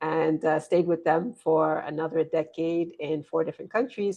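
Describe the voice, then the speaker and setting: A woman's very deep, low voice at a fairly quick pace, fairly even in intonation, against a quiet background. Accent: American. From US, rural Pennsylvania. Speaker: business consultant and author. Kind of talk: interview.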